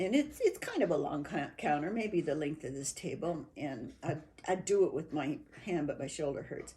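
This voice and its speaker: A woman speaks at a fairly slow pace in a somewhat breathy, fairly low voice with a dark, mellow tone. Her pitch swings very widely. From New Mexico. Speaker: interviewee. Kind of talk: oral history interview. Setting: at a home. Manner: halting.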